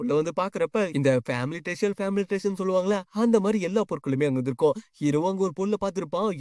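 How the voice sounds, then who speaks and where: In a very clean recording with a silent background, a man's high-pitched voice sounds dry and close, with no echo. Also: ordinary pitch variation. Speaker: manhwa explainer. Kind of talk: story recap narration. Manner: casual, conversational.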